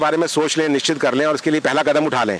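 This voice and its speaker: Noticeable background noise accompanies a man speaking in a fairly high voice. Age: 50s. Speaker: retired businessman and road traveller. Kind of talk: press interview.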